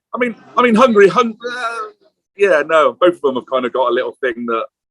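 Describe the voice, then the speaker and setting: A man speaks at a fairly quick pace. He has an English accent. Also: dry, close sound with no echo. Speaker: film director. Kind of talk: interview. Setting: pub, remote call.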